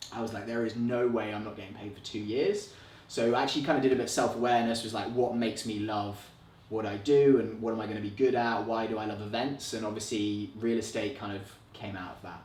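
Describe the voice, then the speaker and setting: A man talks very fast at a medium pitch with fairly even intonation. Audible room echo surrounds his voice. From England, London. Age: 20s. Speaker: real estate agent. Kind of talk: podcast interview. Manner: casual, chatty.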